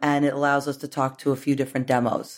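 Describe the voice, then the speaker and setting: The voice has an American accent. It belongs to a woman. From New York. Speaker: media executive. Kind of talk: interview.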